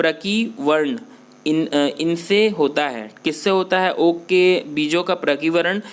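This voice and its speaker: This man has a high-pitched voice and a non-native accent. His pitch varies in an ordinary way. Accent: self-described weak Hindi pronunciation. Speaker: online exam-prep teacher. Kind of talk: tutorial. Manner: halting, many fillers and restarts.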